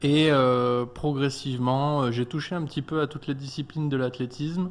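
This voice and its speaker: Moderately paced male speech, fairly high in pitch, with fairly even intonation. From France (Clermont-Ferrand, Auvergne). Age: 20s. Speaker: athlete. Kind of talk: radio interview. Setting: studio. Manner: hesitant.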